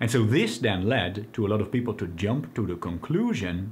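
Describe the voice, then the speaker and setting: A somewhat breathy man talks at a moderate pace with light background noise. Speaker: video creator. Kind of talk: explanatory commentary. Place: home room.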